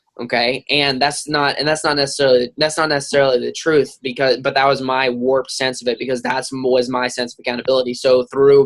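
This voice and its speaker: A man speaks at a fairly quick pace. His pitch is medium. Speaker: team leader hosting a weekly coaching call. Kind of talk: group call talk. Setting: group call. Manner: fast; animated.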